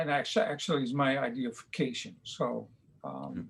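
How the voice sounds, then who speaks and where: A man with a Dutch accent, a fairly high pitch, and a fairly slow pace. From Netherlands. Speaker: painter. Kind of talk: interview. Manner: halting.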